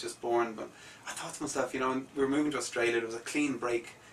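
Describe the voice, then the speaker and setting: Over noticeable background noise, a man with an Irish accent speaks in a flat monotone. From Ireland, Dublin. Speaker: musician. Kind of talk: radio interview. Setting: radio studio.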